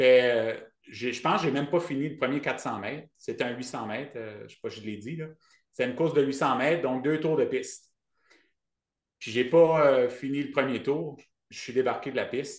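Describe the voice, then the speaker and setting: A man with a fairly high pitch and ordinary pitch variation speaks at a moderate pace, his loudness swinging widely and his pauses long and frequent. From Acadian New Brunswick, Canada. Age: 40s. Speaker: ultrarunner and running coach. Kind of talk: podcast interview. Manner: hesitant, many fillers.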